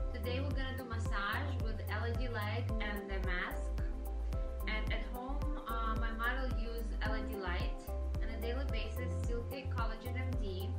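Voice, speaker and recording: Loud music plays in the background. Over it, a woman talks at a moderate pace. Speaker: esthetician. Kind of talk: casual talk to camera about treatment plan. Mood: calm, gentle. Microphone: camera far.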